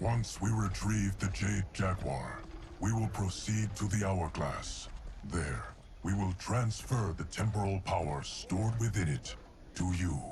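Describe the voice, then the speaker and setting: Using a put-on character voice, a man speaks at a fairly low pitch and fairly slow pace over clear background noise. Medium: video game. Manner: measured, solemn.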